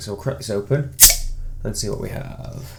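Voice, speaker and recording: The man's delivery is fairly brisk. He has an English accent. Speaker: beer reviewer. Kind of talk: casual product review. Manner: hesitant, many fillers.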